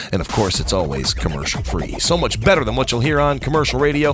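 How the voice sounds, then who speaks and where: Over music in the background, a man speaks in an upbeat, playful tone. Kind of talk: radio DJ patter between tracks: station IDs, artist shout-outs and plugs. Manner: brisk, upbeat, punchy, with a playful quip.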